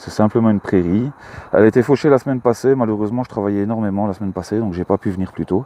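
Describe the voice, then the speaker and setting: A man with a Belgian accent at a very fast pace. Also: fairly low pitch for a man, ordinary pitch variation. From Belgium, Luxembourg province. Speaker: metal detecting hobbyist vlogger. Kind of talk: casual vlog commentary. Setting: outdoors in a field. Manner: hesitant, many fillers.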